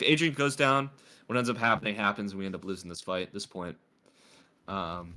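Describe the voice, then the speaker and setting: A man's fairly low voice, bright and sharp in tone, with lively intonation, big swings in loudness, and long, frequent pauses. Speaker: game coach reviewing replays. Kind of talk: VOD review coaching. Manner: casual, hesitant with fillers.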